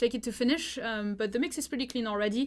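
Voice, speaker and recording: The speaker has a French accent and fairly even intonation. The recording is very clean, with a silent background. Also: woman. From France. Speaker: music producer giving feedback. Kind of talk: live stream feedback. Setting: live stream. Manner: casual, many fillers.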